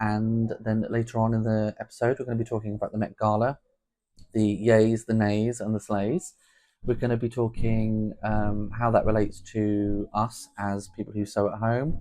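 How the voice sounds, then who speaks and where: Against a quiet background, a man with a southern English accent speaks in a dark, mellow tone at a fairly low pitch, his intonation monotone and flat. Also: moderate pace. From southern England (Portsmouth). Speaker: podcast host, home sewist. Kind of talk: casual podcast chat.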